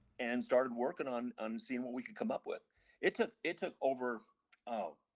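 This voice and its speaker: In an unremarkable speaking voice, a man talks at medium pitch and a moderate pace with ordinary pitch variation, in a dry, close sound with no echo. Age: 60s. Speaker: pickleball product entrepreneur. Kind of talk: interview.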